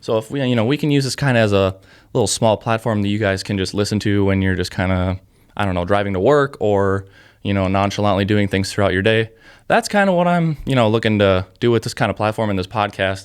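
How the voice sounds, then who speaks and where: Very fast and fairly low in pitch, a man talks with ordinary pitch variation on a very clean recording with a silent background. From south central Minnesota. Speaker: hunting podcast host. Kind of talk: casual solo podcast monologue. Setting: podcast studio.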